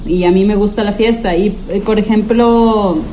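The room echo can be heard. Background noise is noticeable throughout. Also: woman. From Torreón, Coahuila, northern Mexico. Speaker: guest. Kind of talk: casual chat. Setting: video call.

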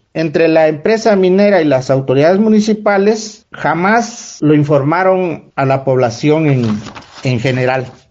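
A man speaks at a fairly slow pace in a high voice with very wide pitch swings. His loudness stays very even. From Oaxaca, Mexico. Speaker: community member. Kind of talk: recorded testimony. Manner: formal.

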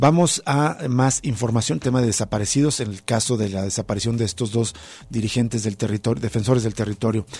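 A man with a somewhat breathy voice speaks at medium pitch and ordinary pitch variation. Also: fairly quick pace. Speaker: radio host. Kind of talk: radio news and analysis show. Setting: radio studio.

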